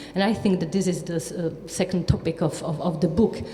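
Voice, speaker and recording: A woman's fairly low voice at a moderate pace with ordinary pitch variation over noticeable background noise. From Czechia. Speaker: writer. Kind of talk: panel talk.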